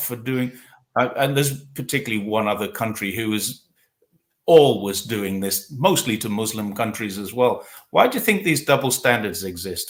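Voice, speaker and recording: A man with an English accent, lively intonation and a moderate pace, on a very clean recording with a silent background. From England. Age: 60s. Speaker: talk show host. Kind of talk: casual interview. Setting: livestream.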